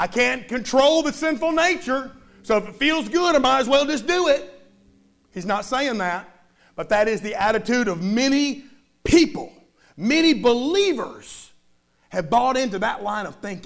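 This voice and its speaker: An animated man's extremely high-pitched voice with lively intonation, a moderate pace and long, frequent pauses. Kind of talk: sermon. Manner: animated, call-and-response preaching, urging the congregation to say amen; conversational and warm, with light humor.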